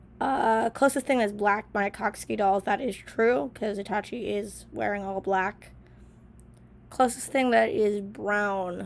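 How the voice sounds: With vocal fry, a woman talks at a fairly slow pace and fairly even intonation. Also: medium pitch for a woman.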